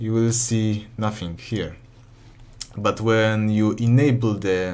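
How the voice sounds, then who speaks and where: Noticeable background noise and audible room echo accompany a man of medium pitch speaking fairly slowly with fairly even intonation. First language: not English. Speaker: modding tutorial youtuber. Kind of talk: tutorial. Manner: halting, many self-corrections.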